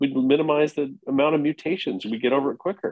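Speaking at a fairly quick pace, this man has a plain, everyday voice with fairly high pitch and ordinary pitch variation. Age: 50s. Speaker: golf instructor. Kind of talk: casual chat.

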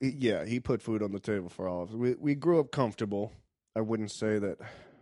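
A man with an American accent speaks in a dark, mellow tone with ordinary pitch variation. The sound is dry and close with no echo, over a quiet background. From US South, Richmond, Virginia. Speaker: stand-up comedian. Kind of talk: casual chat.

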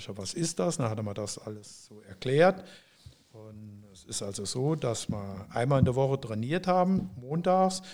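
A man at medium pitch and a moderate pace, with very wide pitch swings and big swings in loudness. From Saarland, Germany. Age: 70s. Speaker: former footballer. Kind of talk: interview.

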